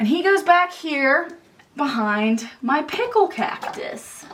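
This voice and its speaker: A woman speaks with a Philadelphia accent and very wide pitch swings. Noticeable background noise is present. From Philadelphia area, US. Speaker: YouTuber, houseplant enthusiast. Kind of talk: home tour vlog. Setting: at home in apartment. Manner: casual, chatty.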